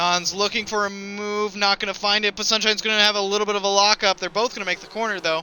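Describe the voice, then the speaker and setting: A man projects a raised, high-pitched voice. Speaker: esports race commentator. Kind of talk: live commentary. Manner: fast; animated.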